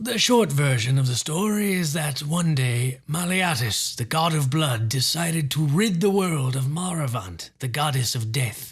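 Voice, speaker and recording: Putting on a character voice, a man speaks at a fairly high pitch and moderate pace with hardly any pauses. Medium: read story. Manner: measured, dryly witty.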